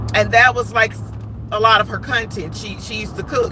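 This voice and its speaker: A woman speaks over noticeable background noise. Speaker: live stream commentator. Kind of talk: casual live stream commentary.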